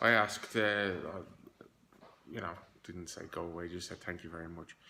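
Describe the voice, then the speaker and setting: A man with a Dublin accent and a bright, sharp tone. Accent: Irish (Dublin). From Dublin, Ireland. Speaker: hair transplant patient. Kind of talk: casual video diary to camera.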